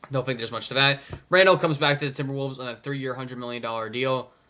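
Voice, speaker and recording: A man speaks very fast at a medium pitch with fairly even intonation. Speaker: NBA commentary YouTuber. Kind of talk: casual solo commentary. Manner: halting, many fillers.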